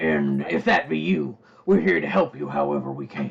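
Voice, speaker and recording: A man's raspy, put-on character voice, very deep and low, at a moderate pace. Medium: actual play. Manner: folksy, polite, drawling.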